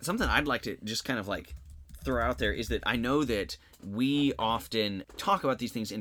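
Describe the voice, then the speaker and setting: A bright, sharp voice with an American accent moves at a fairly quick pace, with lively intonation and vocal fry. The recording is very clean and the background silent. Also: man. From various US places, military family. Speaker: high school social studies teacher and podcast co-host. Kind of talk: casual podcast discussion.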